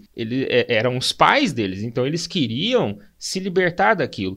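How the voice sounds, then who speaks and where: A man talks rather slowly, his pitch swinging across a very broad range, on a very clean recording with total silence behind him. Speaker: philosophy teacher. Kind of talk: casual educational chat.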